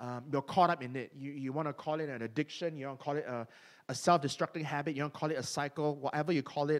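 Over a silent background on a very clean recording, a man talks at a very fast pace with fairly high pitch and fairly even intonation. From Asia. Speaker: pastor. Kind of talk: sermon. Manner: hesitant, many fillers.

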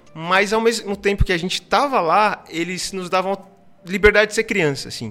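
Music plays in the background as a man with a high pitch uses a raised, projected voice. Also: ordinary pitch variation, moderate pace. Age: 20s. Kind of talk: casual interview chat. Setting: studio.

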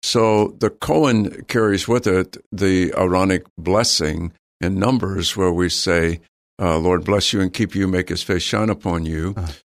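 In an American accent, a man with a very deep, low pitch speaks at a fairly slow pace with fairly even intonation and very even loudness, on a very clean recording with a silent background. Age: 80s. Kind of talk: casual interview chat, personal testimony.

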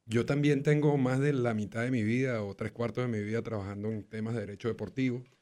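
A man speaks at a medium pitch and a fairly quick pace, with ordinary pitch variation and music in the background. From Venezuela. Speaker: sports lawyer. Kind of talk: casual chat.

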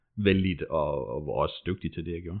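The man's intonation is fairly even. His pitch sits very deep and low. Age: 30s. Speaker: furniture maker recovering from stress. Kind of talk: personal testimony interview. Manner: hesitant, many fillers.

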